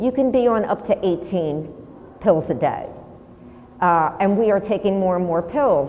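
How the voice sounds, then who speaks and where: A woman speaks at a medium pitch and a fairly slow pace, her intonation lively. Noticeable background noise runs under her. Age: 60s. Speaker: painter and sculptor. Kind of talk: artist talk Q&A.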